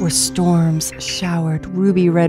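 A woman at a very slow pace, with music in the background. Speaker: voice-over artist. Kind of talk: animated film trailer narration. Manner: storybook, whimsical.

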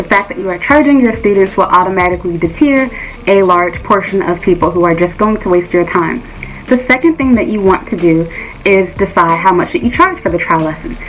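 A woman talks at a fairly quick pace with light background noise. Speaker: private English teacher giving advice. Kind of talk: tutorial. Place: home room. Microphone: phone near.

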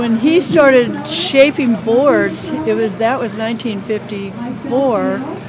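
Over loud background noise, a woman speaks at a fairly high pitch. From Southern California. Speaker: surfer's wife; interviewee. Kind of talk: casual interview. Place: tent.

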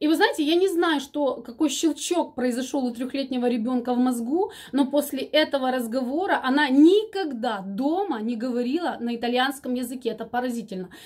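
A woman's high-pitched voice with lively intonation, a moderate pace and a quiet background. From Ukraine. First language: Ukrainian (speaking Russian). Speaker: vlogger. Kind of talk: casual chat. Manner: halting, many filler sounds. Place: home room. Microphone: phone near.

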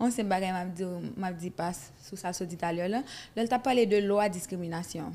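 The speaker is a woman with a dark, mellow tone. She moves at a fairly quick pace. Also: ordinary pitch variation. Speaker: interviewer. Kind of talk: interview. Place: studio. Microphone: studio mic.

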